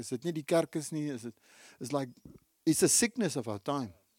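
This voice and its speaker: With an Afrikaans South African accent, a man talks at a fairly high pitch with lively intonation, the sound dry and close with no echo and the recording very clean over a silent background. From South Africa, Free State. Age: 60s. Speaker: pastor. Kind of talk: sermon. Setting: church.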